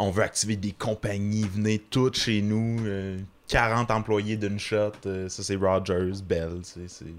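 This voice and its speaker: A man's fairly low, monotone voice with flat intonation at a very slow pace. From Quebec, small town. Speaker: comedian. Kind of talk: casual chat.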